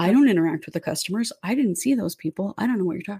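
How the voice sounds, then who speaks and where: A woman's voice with vocal fry. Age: 40s. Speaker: true crime podcast host and producer. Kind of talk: casual chat.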